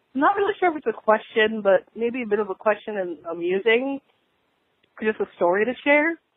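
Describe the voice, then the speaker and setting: A woman's unremarkable speaking voice, fairly high in pitch, with lively intonation and a fairly quick pace. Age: 20s. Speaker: caller. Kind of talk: voice message. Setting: phone call.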